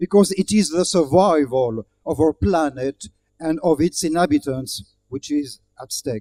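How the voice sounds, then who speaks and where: A man's fairly high voice in a French accent, dark and mellow in tone, with lively intonation and a fairly slow pace. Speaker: diplomat giving speech. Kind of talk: formal speech. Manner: formal.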